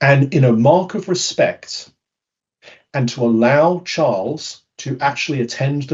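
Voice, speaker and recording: A man with a British accent speaks in a fairly high, somewhat breathy voice. His intonation is lively. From United Kingdom. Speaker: conference speaker on behavioural science. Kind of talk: webinar presentation.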